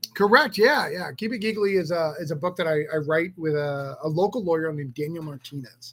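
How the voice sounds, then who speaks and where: Fairly quick, nearly pause-free speech with an American accent, ordinary pitch variation, and noticeable background noise. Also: man, high pitch for a man. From New Hampshire, US. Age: 40s. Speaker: comic book writer. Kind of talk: casual interview.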